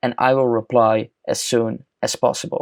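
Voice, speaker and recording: The speaker has a Dutch accent. The recording is very clean with a silent background and a dry, close sound with no echo. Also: man. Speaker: chatbot tutorial youtuber. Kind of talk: screen-recorded software tutorial.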